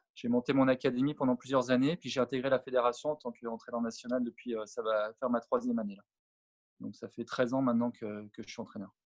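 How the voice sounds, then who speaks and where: Talking at a very fast pace, a man with a medium pitch keeps a monotone, flat intonation while his loudness swings widely, all in a dry, close sound with no echo. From France, Savoie (Alps). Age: 40s. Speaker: former pro tennis player and coach. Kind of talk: interview. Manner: halting, many fillers.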